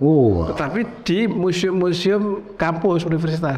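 The pitch moves up and down in an ordinary way. The pace is fairly slow. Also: man. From Central Java, Indonesia (Sragen); Central Java, Indonesia. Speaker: professor and painter; professor. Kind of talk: casual interview. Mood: relaxed, storytelling. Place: studio. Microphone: lapel.

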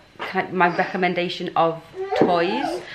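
A woman is speaking over loud background noise. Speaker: vlogger. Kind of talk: casual vlog chat. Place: home room. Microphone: phone near.

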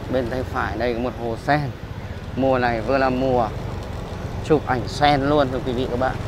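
There is noticeable background noise behind a man speaking at a fairly slow pace in a monotone, flat intonation. The sound is dry, with no echo. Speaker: street vlogger. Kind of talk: casual walking tour commentary. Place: street. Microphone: phone near.

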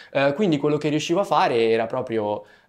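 A man is speaking. The background is quiet. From Italy. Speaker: student athlete; interviewee. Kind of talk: interview. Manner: hesitant, many fillers. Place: studio.

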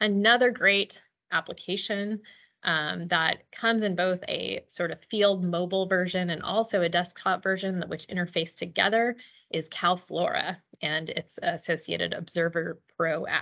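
A woman's bright, sharp tone at a moderate pace, with fairly even intonation and a quiet background. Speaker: presenter. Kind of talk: lecture. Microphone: video call.

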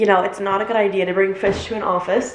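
A woman speaks at a fast pace and a medium pitch. Faint background noise sits underneath.

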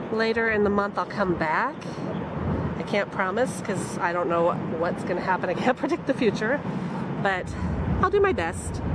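Through loud background noise, the speech moves at a moderate pace with long, frequent pauses. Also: woman, ordinary pitch variation. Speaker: vlogger. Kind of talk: casual vlog chat. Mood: cheerful, slightly disappointed. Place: waterside. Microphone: phone near.

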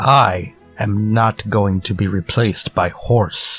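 Over faint music in the background, a man does a put-on character voice, fairly low in pitch and fairly bright in tone with a slightly husky edge. He talks slowly, keeping his intonation fairly even.

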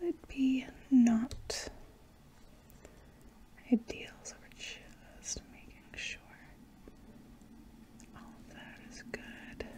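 Whispering at a very slow pace, a woman leaves long, frequent pauses, her loudness swinging widely. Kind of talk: roleplay exam talk to viewer. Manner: soft, hushed ASMR speaking voice. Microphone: phone near.

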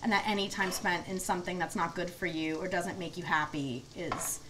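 A woman with a bright, sharp tone talks at a moderate pace. Light background noise can be heard. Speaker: guest comedian. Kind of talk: interview answer. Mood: reflective, candid. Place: kitchen.

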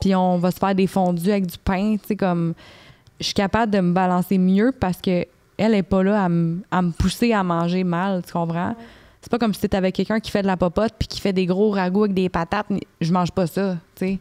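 The voice moves at a fairly quick pace in a monotone, flat intonation, its tone dark and mellow over a quiet background. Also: woman. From Quebec. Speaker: fitness influencer and author; podcast guest. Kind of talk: casual interview chat. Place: studio. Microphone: handheld.

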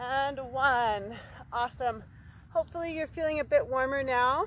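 A woman's high-pitched voice at a very slow pace, ordinary pitch variation, a dry sound with no echo, and light background noise. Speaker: fitness instructor. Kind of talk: workout instruction. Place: open country.

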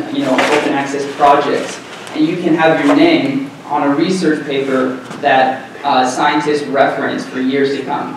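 A man speaks at a moderate pace in a monotone, flat intonation. Strong room echo and noticeable background noise fill the recording. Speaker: presenter. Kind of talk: conference presentation. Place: classroom.

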